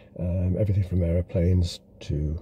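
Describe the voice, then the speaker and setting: Speaking at a moderate pace, a man uses a very deep, low pitch with vocal fry and a dark, mellow tone. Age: 60s. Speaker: video blogger. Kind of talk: casual monologue commentary. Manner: halting, many fillers.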